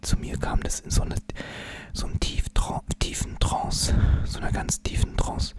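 A man whispering in a relaxed tone at a moderate pace. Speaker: ASMR creator. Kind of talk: ASMR whisper talk to camera. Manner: casual, chatty, relaxed. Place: home room. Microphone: studio mic.

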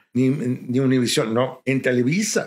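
A man speaks at a medium pitch. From Mexico, Cuernavaca, Morelos. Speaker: radio announcer and journalist. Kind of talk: casual interview.

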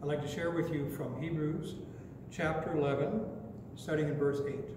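A man's fairly high-pitched voice at a fairly slow pace, with noticeable background noise and audible room echo. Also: fairly even intonation. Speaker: pastor. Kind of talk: sermon. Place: church. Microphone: podium.

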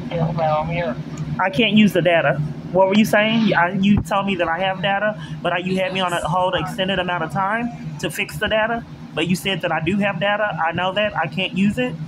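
A man speaks at a fairly quick pace while noticeable noise runs in the background. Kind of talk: phone call and complaint. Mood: frustrated, irritated. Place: train. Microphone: phone near.

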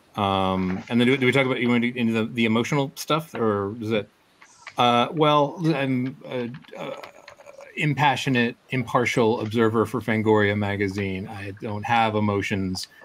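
Speech comes at a moderate pace against light background noise. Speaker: comics creator playing a role-playing game. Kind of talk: tabletop role-play. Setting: video call. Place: home room. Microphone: video call.

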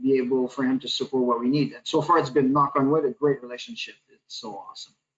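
A man speaks at medium pitch. He has a Quebec accent. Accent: Québécois French-accented English. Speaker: executive chef; panelist. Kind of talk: panel discussion. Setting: video call. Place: home room. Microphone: video call.

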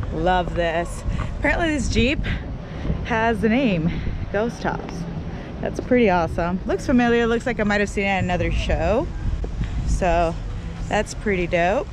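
A woman speaking with long, frequent pauses amid noticeable background noise. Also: moderate pace, dry sound with no echo. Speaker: vlogger at car show. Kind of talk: casual vlog chat. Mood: upbeat, excited. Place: street. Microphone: phone near.

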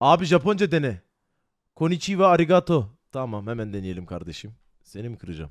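Here a man speaks at a medium pitch. His pitch swings very widely. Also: fairly quick pace, big swings in loudness. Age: 20s. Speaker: streamer. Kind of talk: casual chat. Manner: animated; laughing.

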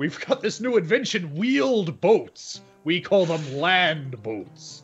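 Over faint background music, a man does a put-on character voice with a high pitch at a fairly slow pace. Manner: boastful, joking.

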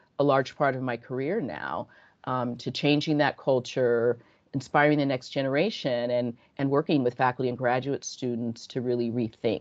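Against a quiet background, a woman speaks at a moderate pace with a very deep, low pitch. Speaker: presenter. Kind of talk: lecture. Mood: earnest, engaged. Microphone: video call.

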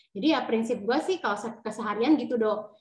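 At a very fast pace, a woman with a high voice speaks with lively intonation. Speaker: insurance agent's wife. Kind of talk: testimony.

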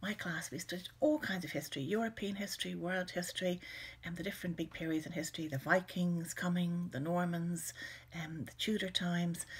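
With an Irish accent, a woman talks very fast in a somewhat breathy voice at a fairly low pitch with ordinary pitch variation. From Ireland. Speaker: children's author. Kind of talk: personal reminiscence to camera. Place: home room. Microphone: webcam.

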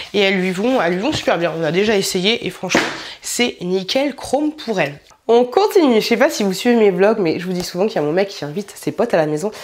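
A woman talks at a very fast pace, her tone animated and her intonation lively. Noticeable background noise runs underneath. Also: medium pitch for a woman. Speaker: YouTuber doing clothing haul. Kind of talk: try-on haul video. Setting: home filming room.

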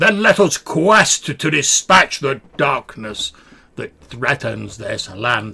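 A man puts on a character voice at a fairly high pitch. He speaks at a very slow pace. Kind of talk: archaic, heroic. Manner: grand, epic.

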